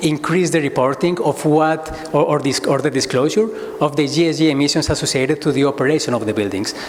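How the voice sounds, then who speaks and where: Against noticeable background noise and audible room echo, a man talks fairly quickly at a fairly high pitch with fairly even intonation. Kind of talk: conference presentation. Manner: fast; halting, many repetitions.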